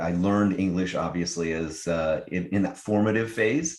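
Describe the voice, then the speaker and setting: American-accented male speech, the background quiet. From Israel. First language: Hebrew. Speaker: tech startup founder. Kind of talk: interview. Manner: halting.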